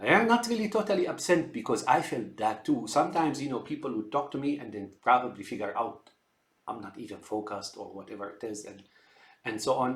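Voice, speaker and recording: At a fairly quick pace, a man with an American accent and medium pitch shows lively intonation and big swings in loudness. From outside the US. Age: 60s. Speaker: computer engineer sharing health observations. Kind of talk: unscripted monologue. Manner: halting, many fillers and repetitions.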